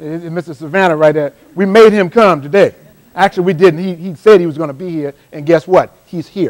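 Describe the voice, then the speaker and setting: A man with an American accent talks at a fairly quick pace in an animated tone, his high voice jumping widely in loudness. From South Carolina Lowcountry (Johns Island). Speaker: motivational speaker. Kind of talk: live motivational workshop talk. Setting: stage with live audience. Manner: fast.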